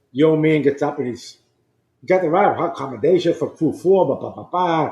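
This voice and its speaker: A man with a Boston accent, fairly high in pitch. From Boston, Massachusetts. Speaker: former navy flight officer and pilot. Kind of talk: storytelling interview.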